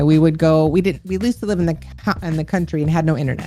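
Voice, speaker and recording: A woman at a very deep, low pitch with ordinary pitch variation, at a very fast pace over music in the background. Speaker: streamer and gamer. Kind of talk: interview answer.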